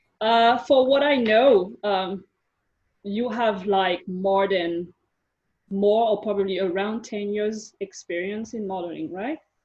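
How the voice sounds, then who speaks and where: A woman speaks very slowly with a non-native accent. Her pitch is medium, with ordinary variation. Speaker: life coach. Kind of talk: coaching session interview.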